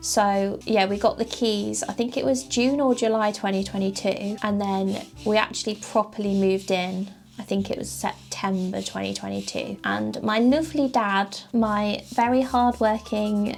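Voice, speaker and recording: Music plays behind a woman with a British accent who speaks at a moderate pace and a medium pitch. She leaves hardly any pauses and uses ordinary pitch variation. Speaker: small business owner and vlogger. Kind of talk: casual chat to camera. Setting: home office.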